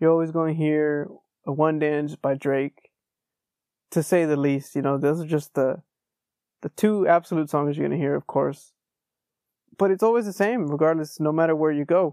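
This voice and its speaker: A relaxed-toned man with a Texan accent, a fairly high pitch and fairly even intonation. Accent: Texan American English. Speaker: podcast host. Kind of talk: casual solo monologue. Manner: relaxed, conversational.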